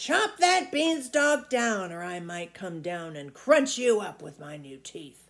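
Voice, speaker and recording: It's a put-on character voice with a fairly high pitch and very wide pitch swings. The pace is fairly slow, with hardly any pauses. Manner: shouting.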